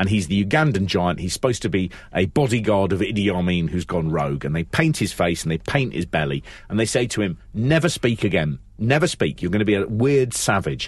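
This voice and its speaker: In a London accent, the speaker talks fairly quickly with very wide pitch swings against a quiet background. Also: man, fairly low pitch for a man. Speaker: wrestling podcast co-host. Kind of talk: casual chat.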